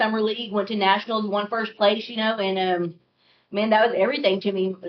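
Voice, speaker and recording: In a monotone, flat intonation, a woman talks at a fairly high pitch and a moderate pace. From US, Oklahoma. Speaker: recovering addict. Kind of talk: testimony.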